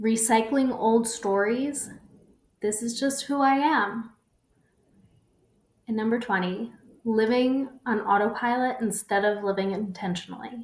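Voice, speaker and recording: Somewhat breathy and fairly high, a woman's voice moves at a fairly slow pace with long, frequent pauses. Her intonation is fairly even. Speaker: personal development workshop host. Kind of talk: online workshop presentation.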